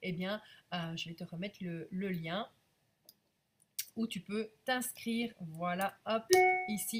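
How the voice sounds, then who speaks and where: A woman speaks at a very slow pace and medium pitch, with ordinary pitch variation and long, frequent pauses. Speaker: business coach. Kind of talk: live stream sales pitch. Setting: live video stream. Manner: hesitant with frequent fillers.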